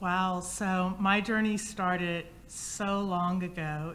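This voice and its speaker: Fairly low-pitched woman's voice with fairly even intonation and audible room echo. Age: 50s. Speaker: inventor and entrepreneur. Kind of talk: panel discussion.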